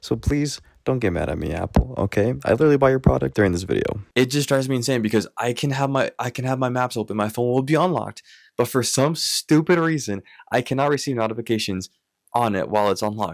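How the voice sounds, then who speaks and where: A man talks at a very fast pace in a medium pitch. The sound is dry and close, with no echo. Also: ordinary pitch variation. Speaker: tech vlogger and filmmaker. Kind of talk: casual vlog talk to camera.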